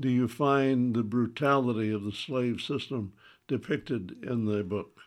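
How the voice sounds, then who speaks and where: Speaking with a Southern US accent, a man with a medium pitch and ordinary pitch variation talks at a fairly slow pace. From US South. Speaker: radio host. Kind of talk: radio book discussion.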